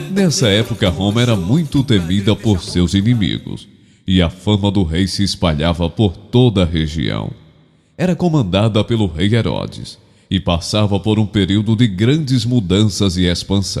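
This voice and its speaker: Over music in the background, a man speaks at a fairly slow pace with very even loudness and ordinary pitch variation. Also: fairly low pitch for a man. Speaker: professional voice-over narrator. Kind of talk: documentary-style narration.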